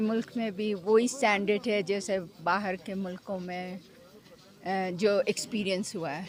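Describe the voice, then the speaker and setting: Her medium-pitched voice shows ordinary pitch variation as the woman talks. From Pakistan. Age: 60s. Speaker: trekker. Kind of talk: interview. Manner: halting.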